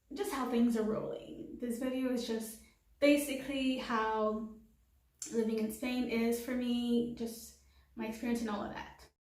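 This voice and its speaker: A woman talks at a fairly slow pace with a high pitch. Audible room echo surrounds her voice. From Haiti. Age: 20s. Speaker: vlogger. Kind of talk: casual vlog monologue. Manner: casual with fillers.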